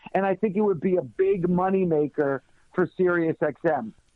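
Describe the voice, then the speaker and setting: A man speaks in a passionate, enthusiastic tone at a high pitch. His pace is moderate and his pitch variation ordinary. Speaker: radio show host. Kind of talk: interview answer.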